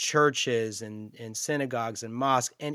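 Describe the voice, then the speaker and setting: An ordinary speaking voice from a man at a fairly slow pace, ordinary pitch variation, dry, close sound with no echo, in a very clean recording with a silent background. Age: 40s. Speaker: podcast host. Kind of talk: interview conversation; scripted narration.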